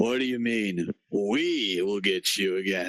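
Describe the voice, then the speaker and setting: A man puts on a character voice. He speaks with fairly low pitch at a fairly slow pace. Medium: actual play. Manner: blunt, tough-guy.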